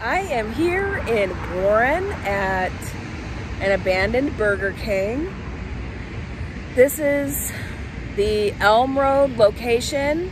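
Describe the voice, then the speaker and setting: Against noticeable background noise, a woman speaks at a very slow pace with long, frequent pauses, the sound dry with no echo. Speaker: urban exploration vlogger. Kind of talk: casual vlog chat. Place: street. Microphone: phone near.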